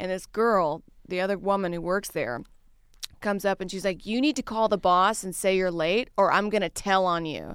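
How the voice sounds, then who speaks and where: In an ordinary speaking voice with an American accent, the speaker moves at a fairly quick pace with ordinary pitch variation. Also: woman. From US South, Louisiana. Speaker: stand-up comedian. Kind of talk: casual chat.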